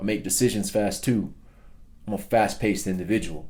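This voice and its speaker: A man with a fairly low pitch and a dark, mellow tone speaks with fairly even intonation. Audible room echo surrounds his voice. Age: 30s. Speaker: personal development speaker. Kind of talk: motivational talk.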